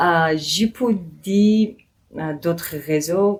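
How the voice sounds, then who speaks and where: A woman with a Georgian accent and ordinary pitch variation. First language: Georgian (speaking French). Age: 20s. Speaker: podcast guest. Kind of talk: interview. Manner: halting, many hesitations.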